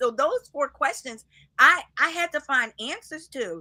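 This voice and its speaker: With an American accent, a woman speaks at a moderate pace in a high, raised and projected voice, her tone animated, bright and sharp. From US Northeast, Philadelphia. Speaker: minister and life coach. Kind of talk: podcast interview. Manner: loud.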